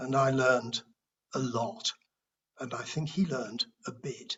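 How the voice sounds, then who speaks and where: Here a man talks in a British accent. He sounds somewhat breathy and goes at a fairly slow pace. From United Kingdom. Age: 60s. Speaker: recovering alcoholic sharing at a support meeting. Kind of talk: testimony. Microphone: speaking without earphones, may be hard to hear.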